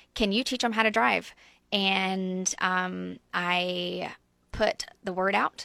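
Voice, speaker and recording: The tone is bright and sharp on a very clean recording with a silent background. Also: woman. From US South, coastal Georgia (Brunswick area). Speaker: refugee ministry leader. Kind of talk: radio interview. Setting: radio studio.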